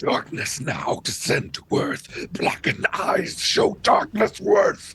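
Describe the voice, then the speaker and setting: Using a put-on character voice, a man speaks at a fairly slow pace with an extremely high, raspy pitch. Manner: ominous.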